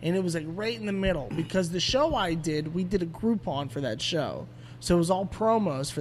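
A man with an American accent talks at a fairly quick pace with hardly any pauses. He has an ordinary speaking voice, a fairly high pitch and lively intonation. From Pittsburgh, Pennsylvania. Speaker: stand-up comedian. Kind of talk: casual chat. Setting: studio.

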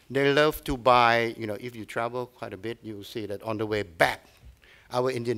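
A man with a Thai accent speaks with ordinary pitch variation. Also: quiet background. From Thailand. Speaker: tourism agency head. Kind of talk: lecture. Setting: stage with audience. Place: hall. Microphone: podium.

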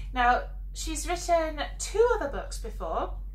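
A woman speaks at a fairly slow pace. Audible room echo is present. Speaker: host introducing her mother. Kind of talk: casual talk to camera. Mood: warm, cheerful. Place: home room. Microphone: camera far.

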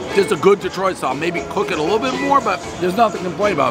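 A man's voice with ordinary pitch variation, clear music playing in the background. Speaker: food reviewer. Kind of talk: casual review commentary. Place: street.

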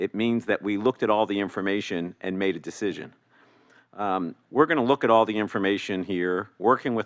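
Fairly quick speech comes in an ordinary speaking voice with ordinary pitch variation. The background is quiet. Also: man. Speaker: commissioner. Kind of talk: public meeting discussion. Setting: council chamber meeting. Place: hall. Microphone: podium.

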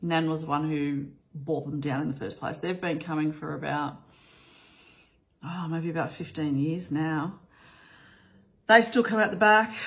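With lively intonation, a woman speaks in an Australian accent. The background is quiet. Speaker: vlogger; family vlogger. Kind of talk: casual vlog talk. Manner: casual, with frequent fillers. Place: home room. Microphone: phone near.

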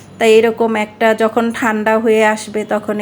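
Against noticeable background noise, a woman speaks in a fairly high pitch with monotone, flat intonation. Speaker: cooking channel host. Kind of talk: tutorial.

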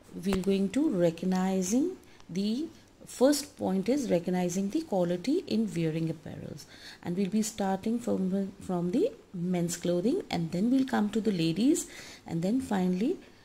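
Here a woman talks at a moderate pace with lively intonation. Her voice is somewhat breathy, with a dark, mellow tone. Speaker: college lecturer. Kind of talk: lecture. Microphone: phone near.

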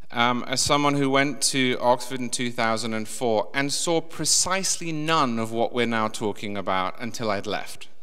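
A man with a British accent speaks with hardly any pauses. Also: ordinary pitch variation, fairly slow pace. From England. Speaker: political commentator and podcaster; political commentator, podcaster. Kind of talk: panel discussion remarks. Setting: stage with audience. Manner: slow talker. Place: hall. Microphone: podium.

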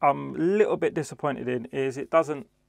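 Against a quiet background, a man talks at a moderate pace in a dry sound with no echo. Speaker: DJ product reviewer. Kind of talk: product review vlog. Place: studio. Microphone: lapel.

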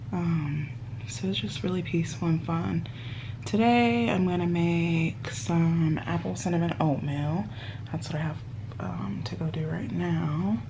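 A woman's very deep, low voice at a fairly slow pace with very wide pitch swings and noticeable background noise. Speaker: vlogger. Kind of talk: casual vlog chat. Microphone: phone near.

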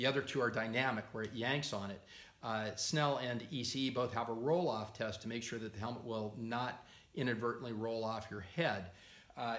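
A man speaks with audible room echo. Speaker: motorcycle gear reviewer. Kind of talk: explanatory talk to camera. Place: workshop.

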